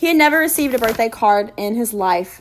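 A plain reading aloud of text.

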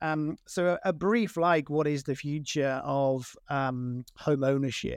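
This fairly high-pitched man is heard on a very clean recording with a silent background. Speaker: business consultant. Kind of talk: interview. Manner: hesitant, uses many fillers.

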